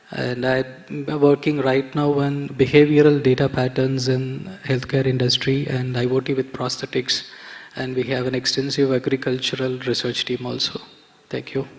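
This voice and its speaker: Over noticeable background noise, a man speaks at a moderate pace and medium pitch in a monotone, flat intonation. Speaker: entrepreneur. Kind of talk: panel discussion.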